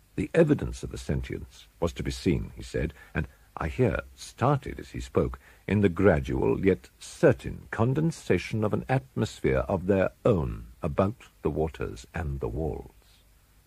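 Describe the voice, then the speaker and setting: A man talks with a very deep, low pitch and a dark, mellow tone, slipping into vocal fry. His pitch swings very widely and his loudness rises and falls in big swings. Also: fairly slow pace. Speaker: audiobook narrator. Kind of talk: dramatic narration of a Gothic horror story, read aloud in a slow, brooding, ominous tone. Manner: dark, suspenseful delivery that builds dread.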